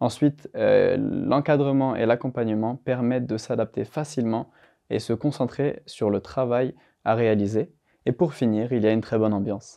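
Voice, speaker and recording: A man's medium-pitched voice, fairly even in intonation, proceeds at a moderate pace. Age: 20s. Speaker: IT application specialist. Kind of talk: corporate testimonial interview. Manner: hesitant, frequent fillers.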